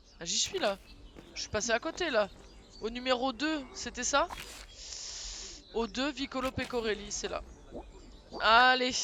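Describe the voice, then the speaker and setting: A man's raised, projected voice at an extremely high pitch, very slow, with long, frequent pauses. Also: ordinary pitch variation. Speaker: video game streamer. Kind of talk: live gaming stream commentary. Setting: live stream with webcam.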